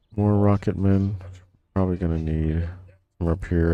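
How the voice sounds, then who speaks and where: A man speaks at a moderate pace in a very deep, low voice with a dark, mellow tone and ordinary pitch variation. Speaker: video game streamer. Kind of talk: gameplay commentary. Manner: casual, thinking aloud.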